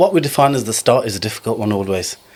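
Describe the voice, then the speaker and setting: A man in a Birmingham accent talks at a medium pitch with ordinary variation. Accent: Birmingham (Brummie) English. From Birmingham, England (Small Heath). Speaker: entrepreneur. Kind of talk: podcast interview.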